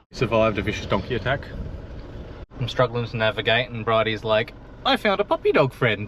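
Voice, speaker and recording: This man has an Australian accent and a medium pitch. He talks at a fairly quick pace but with long, frequent pauses. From South Australia. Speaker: travel vlogger. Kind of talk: casual vlog chat. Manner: animated.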